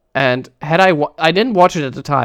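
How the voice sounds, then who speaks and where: A man with a German accent against a quiet background. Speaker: streamer and speedrunning commentator. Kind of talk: live stream commentary rant. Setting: live stream. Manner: halting, with false starts.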